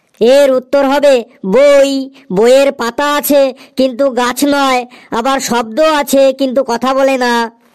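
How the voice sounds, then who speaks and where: This is a cartoonish character voice with a high pitch. It moves at a moderate pace. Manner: confident, matter-of-fact.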